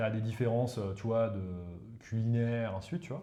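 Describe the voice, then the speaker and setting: A man with a medium-pitched, somewhat breathy voice and a dark, mellow tone talks at a fairly quick pace with ordinary pitch variation. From northern India, eastern Uttar Pradesh. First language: Hindi (speaking French). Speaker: professor of economic warfare. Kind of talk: casual interview chat. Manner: hesitant, many fillers.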